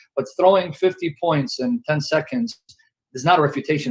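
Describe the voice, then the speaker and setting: Lively intonation from a man. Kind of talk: heated debate. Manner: loud.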